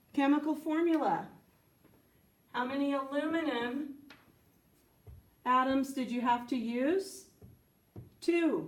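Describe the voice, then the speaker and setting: A woman with a high voice speaks very slowly, leaving long, frequent pauses, her pitch varying in an ordinary way against audible room echo. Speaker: science teacher. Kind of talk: tutorial.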